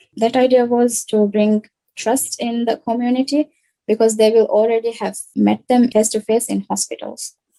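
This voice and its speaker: With a Maldivian accent, a speaker talks at a moderate pace in a flat monotone with a dark, mellow tone, recorded dry and close with no echo. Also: woman. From Maldives. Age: 20s. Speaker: social entrepreneur. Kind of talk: pitch presentation.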